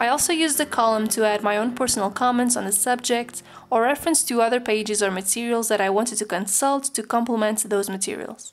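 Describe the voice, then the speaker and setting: With a Portuguese accent, a woman talks at a fairly quick pace and fairly high pitch, using ordinary pitch variation. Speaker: student and study-tips video maker. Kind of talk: tutorial.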